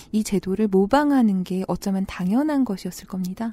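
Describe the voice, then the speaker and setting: This very clean recording has a silent background and a moderate pace. The voice is somewhat breathy, with ordinary pitch variation. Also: woman. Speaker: Korean studies scholar. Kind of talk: explanatory discussion.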